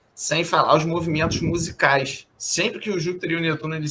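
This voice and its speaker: A man talks at a fairly quick pace and fairly high pitch, with ordinary pitch variation. His is an unremarkable speaking voice. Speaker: astrologer. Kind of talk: interview.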